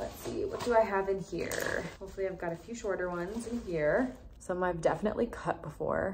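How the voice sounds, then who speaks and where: With hardly any pauses, a woman keeps up a fairly quick pace amid noticeable background noise. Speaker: beauty vlogger. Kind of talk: tutorial. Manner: soft-spoken.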